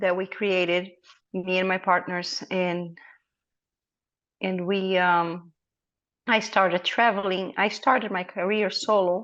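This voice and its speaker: Against a quiet background, a woman with a medium pitch speaks very slowly with fairly even intonation and long, frequent pauses. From Brazil. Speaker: dog breeder. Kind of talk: interview.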